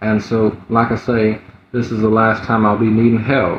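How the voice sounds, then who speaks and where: Somewhat breathy and at a moderate pace, a man speaks at medium pitch with an American accent. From US Gulf Coast. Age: 20s. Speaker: livestreamer asking for donations. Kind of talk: livestream chat. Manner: hesitant, many fillers.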